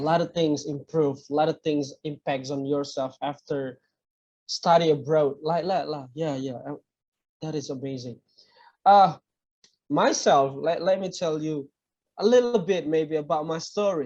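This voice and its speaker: The speaker, in an Indonesian accent, goes at a fairly slow pace with long, frequent pauses. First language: a regional Indonesian language. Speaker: interviewer. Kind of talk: interview. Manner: halting.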